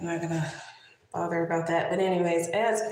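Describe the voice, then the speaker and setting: The speaker is a woman with ordinary pitch variation. Audible room echo is present. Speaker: lifestyle vlogger. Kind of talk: tutorial. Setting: livestream. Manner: casual.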